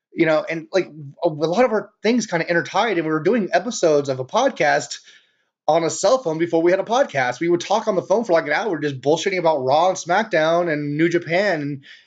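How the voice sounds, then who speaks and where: A man with an American accent, very fast pace and lively intonation. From California, San Jose. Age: 30s. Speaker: podcast host. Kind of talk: casual podcast monologue. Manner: loud; casual, filler-heavy.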